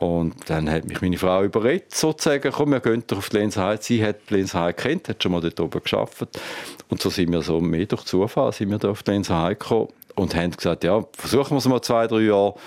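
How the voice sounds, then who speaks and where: A man at a very fast pace, fairly low in pitch, with lively intonation. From Thurgau, Switzerland (Lake Constance). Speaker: hotelier and industry association president. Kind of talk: interview.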